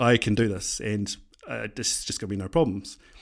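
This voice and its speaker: A man talking at a fairly quick pace. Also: very clean recording, silent background. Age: 30s. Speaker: small business owner, podcaster. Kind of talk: personal storytelling monologue. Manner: hesitant, many fillers.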